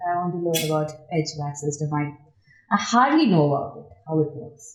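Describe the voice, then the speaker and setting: A woman with an Indian accent and a very deep, low pitch talks at a fairly quick pace, with ordinary pitch variation and big swings in loudness. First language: Indian language. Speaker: construction project engineer. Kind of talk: podcast interview.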